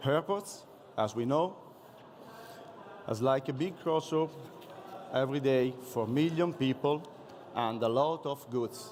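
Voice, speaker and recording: Speaking with an Italian accent, a man with a fairly high pitch goes at a fairly slow pace, leaving long, frequent pauses. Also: ordinary pitch variation. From Italy. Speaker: police officer. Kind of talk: conference presentation. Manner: halting.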